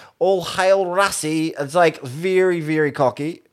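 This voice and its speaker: A man's high-pitched voice in a New Zealand accent, fairly even intonation, very clean recording with a silent background. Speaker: podcast host. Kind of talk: casual banter about rugby.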